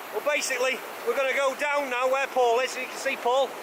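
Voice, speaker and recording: Noticeable background noise runs under fairly quick speech. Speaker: vlogger. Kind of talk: outdoor vlog chat. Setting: outdoors by a waterfall. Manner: loud. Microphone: camera mic with DIY muffler.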